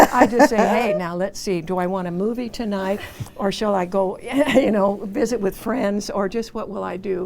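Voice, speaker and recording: A woman talks at a moderate pace and a medium pitch, with fairly even intonation. Noticeable background noise runs underneath. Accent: West Coast US. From Southern California. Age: 80s+. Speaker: senior living resident. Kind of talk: talk show interview.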